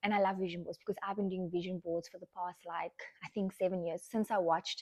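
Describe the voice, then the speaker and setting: A woman talks at a very fast clip with fairly even intonation and a medium pitch. The sound is dry and close, with no echo. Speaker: lifestyle podcaster. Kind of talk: casual chat.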